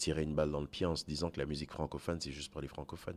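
A man speaks at a very fast pace in a very deep, low pitch. His intonation is monotone and flat. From Côte d'Ivoire, Togolese parents, French school system. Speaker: singer-songwriter, slam poet. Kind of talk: interview. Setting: festival backstage.

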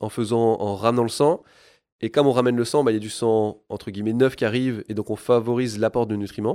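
A man with an unremarkable speaking voice, medium in pitch, at a fairly quick pace, in a very clean recording with a silent background. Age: 30s. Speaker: sports product engineer, former physiotherapist. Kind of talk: expert interview.

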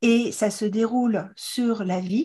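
Her voice is somewhat breathy with a dark, mellow tone, as a woman speaks at a fairly high pitch with ordinary pitch variation over a quiet background. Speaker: podcast host, fertility educator and author. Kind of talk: interview. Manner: animated.

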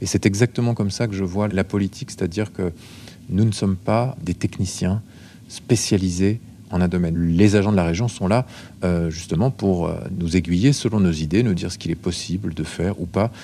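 The man's voice is very deep and low in pitch, with a dark, mellow tone. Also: ordinary pitch variation, moderate pace. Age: 40s. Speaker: care assistant and regional politician. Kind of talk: interview.

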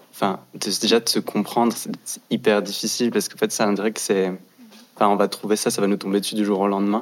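Noticeable background noise accompanies a fairly quick voice with monotone, flat intonation. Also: man, fairly low pitch for a man. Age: 20s. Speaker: fashion design student. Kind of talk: casual panel discussion.

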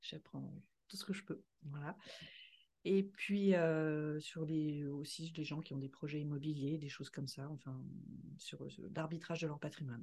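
A woman speaks in a somewhat breathy, dark, mellow voice at a very deep, low pitch. Her pace is fairly slow with fairly even intonation, big swings in loudness, and long, frequent pauses. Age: 50s. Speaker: podcast co-host, finance director and property investor. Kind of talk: casual chat.

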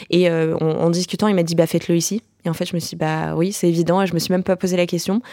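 Her delivery races along at a very fast pace in a monotone, flat intonation. The woman's pitch is fairly low, with a dark, mellow tone. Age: 20s. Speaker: startup founder. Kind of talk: podcast testimony.

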